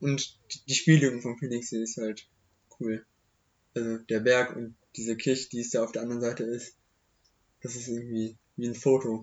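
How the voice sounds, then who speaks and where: Monotone, flat delivery from a man at a medium pitch, moderate pace and long, frequent pauses. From Germany, Hochheim am Main (Hesse). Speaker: young local podcast guest. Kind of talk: casual chat. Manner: halting.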